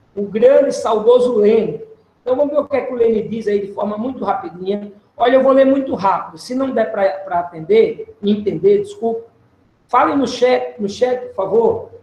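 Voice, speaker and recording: In a room with audible echo, a man with an extremely high pitch and ordinary pitch variation talks at a moderate pace. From Alagoas backcountry, Brazil. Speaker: professor. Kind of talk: lecture. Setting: video call. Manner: animated.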